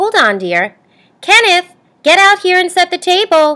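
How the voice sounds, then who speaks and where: A squeaky, put-on character voice at a moderate pace with ordinary pitch variation, in a dry, close sound with no echo. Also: woman, extremely high pitch for a woman. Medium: read story. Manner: brisk, motherly, no-nonsense.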